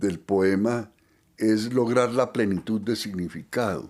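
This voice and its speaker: The recording is very clean, with a silent background. A man speaks at a very slow pace, his pitch fairly low and his intonation fairly even. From Antioquia, Colombia. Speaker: poet. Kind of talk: interview answer.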